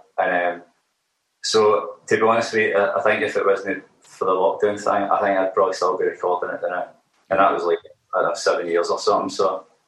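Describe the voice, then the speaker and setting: The speaker talks at a moderate pace with a Glaswegian accent. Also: man. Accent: Glaswegian Scottish. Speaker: musician, band frontman. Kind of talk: casual interview chat. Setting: remote interview. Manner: halting.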